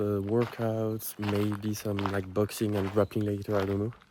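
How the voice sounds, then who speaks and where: Noticeable background noise runs behind this recording. A man speaks at a moderate pace and a medium pitch. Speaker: vlogger and business owner. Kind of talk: casual vlog talk. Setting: outdoors at a campsite. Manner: hesitant, many fillers.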